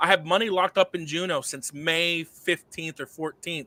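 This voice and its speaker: A man projects a raised voice in an animated, bright, sharp tone. The sound is dry and close with no echo. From Cuba. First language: Spanish. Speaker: sound money advocate, former financial advisor. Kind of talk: podcast interview. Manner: fast, animated; halting with stammers.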